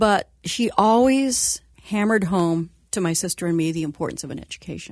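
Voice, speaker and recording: A woman speaks in a US Midwestern accent at a medium pitch. Her pace is fairly quick, with ordinary pitch variation. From Indiana, US Midwest. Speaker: former news and sports anchor, communications company head. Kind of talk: radio interview.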